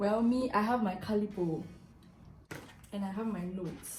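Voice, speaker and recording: A woman talks at a moderate pace and medium pitch with fairly even intonation. Audible room echo and noticeable background noise fill the recording. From Ghana. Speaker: YouTuber. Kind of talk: casual vlog talk. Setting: eating a snack while talking.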